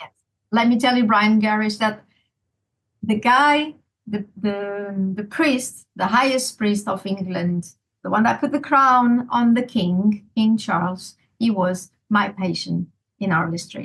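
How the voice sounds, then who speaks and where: Somewhat breathy, a woman talks at a fairly high pitch with ordinary pitch variation. Her pace is very slow. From Portugal. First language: Portuguese. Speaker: mother telling her case, cardiac physiologist. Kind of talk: interview testimony.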